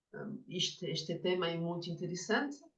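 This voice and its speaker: Somewhat breathy and fairly low in pitch, a woman talks with a French accent. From France. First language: French (speaking Portuguese). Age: 50s. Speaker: Jungian psychotherapist and author. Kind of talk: lecture. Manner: halting, with many fillers.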